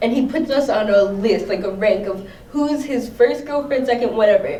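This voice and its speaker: In an American accent, a woman speaks at a moderate pace and high pitch with ordinary pitch variation, along with audible room echo and noticeable background noise. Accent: Trinidadian accent slips out at times. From US Northeast, Long Island, New York. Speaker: artist and activist. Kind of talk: interview. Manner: halting, many fillers.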